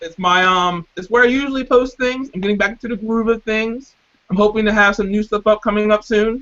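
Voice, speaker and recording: A man's high-pitched voice at a fairly quick pace. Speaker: fan guest on reaction podcast. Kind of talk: casual chat. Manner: fast; energetic.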